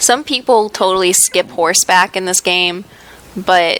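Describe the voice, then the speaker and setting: With an American accent, a woman speaks at a moderate pace and medium pitch in a monotone, flat intonation. Noticeable background noise runs underneath. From United States. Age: young. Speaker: gaming YouTuber. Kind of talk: let's play commentary. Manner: casual, chatty.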